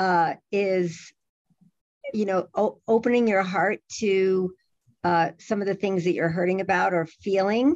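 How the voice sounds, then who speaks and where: Speaking at a fairly slow pace, a woman uses a medium-pitched voice. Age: 60s. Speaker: nurse and relationship educator. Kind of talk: podcast interview. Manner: halting, many repeated words.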